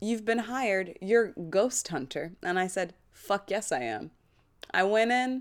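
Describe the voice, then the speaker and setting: A woman's lively intonation on a very clean recording with a silent background. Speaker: podcast host and actor. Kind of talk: casual chat. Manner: loud.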